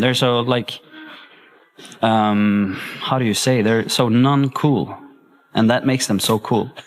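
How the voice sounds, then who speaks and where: A man with a Swedish accent, medium in pitch, with ordinary pitch variation and a fairly slow pace. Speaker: singer. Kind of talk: interview. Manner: halting.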